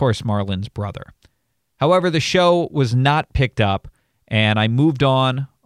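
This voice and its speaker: In a very clean recording with a silent background and a dry, close sound with no echo, a man talks at a moderate pace with lively intonation in an ordinary speaking voice. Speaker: podcast host and talk show host. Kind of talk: casual interview chat; scripted narration.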